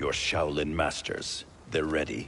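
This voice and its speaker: A man puts on a character voice. He speaks at a fairly slow pace over clear background noise. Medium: video game. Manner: stern, distrustful.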